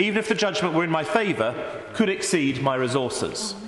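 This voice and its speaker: With a southern English accent, a man speaks at a fairly quick pace in a high pitch and lively intonation, with light background noise and audible room echo. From England. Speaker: member of parliament. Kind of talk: parliamentary debate speech addressed to the Deputy Speaker. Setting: parliament chamber. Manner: measured, formal oratory with frequent self-repeating stumbles; earnest, concerned tone when quoting the blogger's worries. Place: hall.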